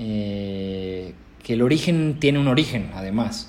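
With a Mexican accent, the speaker goes at a very slow pace. Room echo is audible. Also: man. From Mexico. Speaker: film director. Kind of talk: interview. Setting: remote recording.

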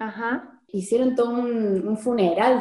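A woman's normal speaking voice, fairly slow, with ordinary pitch variation. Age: 20s. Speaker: psychologist, researcher. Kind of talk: interview.

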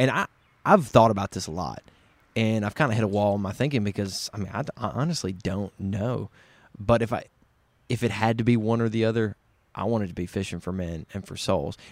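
On a very clean recording with a silent background and a dry, close sound with no echo, a man with a Southern US accent speaks at a fairly low pitch with ordinary pitch variation. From West Tennessee. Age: 20s. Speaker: podcast host guest. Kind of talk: casual conversation. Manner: talkative.

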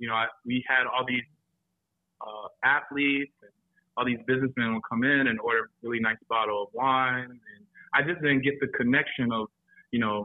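Long, frequent pauses mark this man's moderate pace as he speaks in an American accent at a medium pitch with fairly even intonation. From South Carolina, Florence. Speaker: sommelier. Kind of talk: casual chat. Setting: studio.

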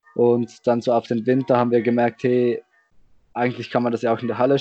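Over music in the background, a man talks very fast at a medium pitch. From Switzerland. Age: young. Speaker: roundnet player and organizer. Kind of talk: casual chat. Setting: video call.

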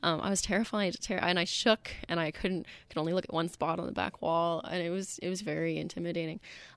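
With a Canadian accent and vocal fry, a woman talks very fast with hardly any pauses, her fairly low voice keeping fairly even intonation. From British Columbia, Canada. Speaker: singer-songwriter and graduate student. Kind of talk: casual interview chat. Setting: radio studio.

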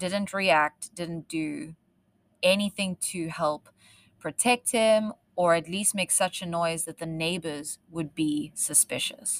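On a very clean recording with a silent background and a dry, close sound without echo, a woman speaks at a fairly slow pace in a fairly low pitch with ordinary pitch variation. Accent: South African. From South Africa. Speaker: true crime podcast host. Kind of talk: true crime storytelling.

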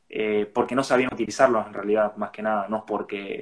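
This man's voice sits fairly low in pitch, with monotone, flat intonation. He talks at a moderate pace. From Argentina, Resistencia, Chaco. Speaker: bitcoin advocate and entrepreneur. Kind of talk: interview explaining a topic. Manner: hesitant, many fillers.

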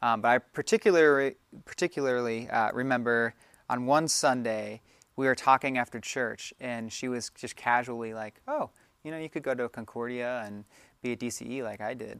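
An unremarkable speaking voice with an American accent moves at a moderate pace with fairly even intonation and big swings in loudness, recorded very cleanly against a silent background with a dry, close sound and no echo. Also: man, medium pitch for a man. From Maryland. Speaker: youth and family minister. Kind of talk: casual interview.

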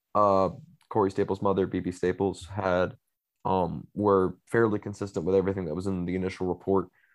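Speaking at a fairly quick pace in a normal speaking voice, a man with fairly low pitch is heard over a quiet background. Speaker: co-host and student newspaper editor. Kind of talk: casual sports podcast discussion.

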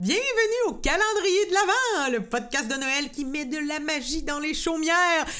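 Her voice high and raised, a woman projects at a fairly slow pace with very wide pitch swings and audible room echo. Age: 30s. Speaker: podcast host. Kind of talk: casual chat. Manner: animated.

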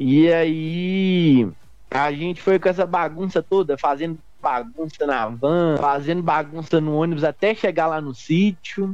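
A man speaks at a fairly slow pace with an unremarkable speaking voice. His voice is fairly high, with ordinary pitch variation. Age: 20s. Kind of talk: interview testimony.

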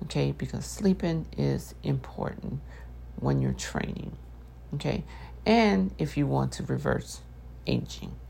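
With a very deep, low pitch and a dark, mellow tone, a woman speaks at a fairly slow pace with fairly even intonation. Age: 50s. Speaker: personal trainer and nutrition coach. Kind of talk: solo talk podcast. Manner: casual, hesitant with many fillers.

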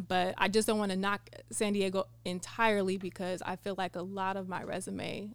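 A woman at medium pitch with a plain, everyday voice, an American accent, a moderate pace and fairly even intonation. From California. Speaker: model and spoken word poet. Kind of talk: casual chat. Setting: studio.

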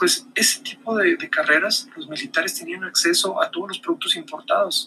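A raised, projected voice with very wide pitch swings at a fairly quick pace. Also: man. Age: 40s. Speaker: marketing podcaster. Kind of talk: solo video monologue. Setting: recorded on camera. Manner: hesitant repetitions.

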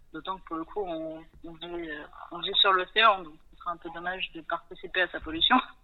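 Her loudness swings widely while her intonation stays fairly even, and the woman is heard over noticeable background noise. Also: fairly low pitch for a woman, moderate pace. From western France (Nantes). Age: 30s. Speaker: sailor and ocean conservation project founder. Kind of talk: interview.

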